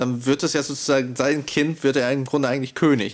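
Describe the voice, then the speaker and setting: The speaker is a man with a fairly high pitch. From Russian-speaking family background. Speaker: literature student podcast host. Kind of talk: casual academic discussion. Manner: hesitant, many fillers.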